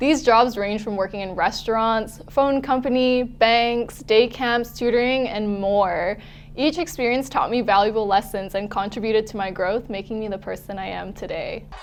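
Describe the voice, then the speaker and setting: A woman with a Canadian accent speaks in a plain, everyday voice, her pitch fairly high with ordinary variation. She keeps a moderate pace with hardly any pauses. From western Canada, Vancouver. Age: 20s. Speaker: network marketing distributor. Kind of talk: testimony.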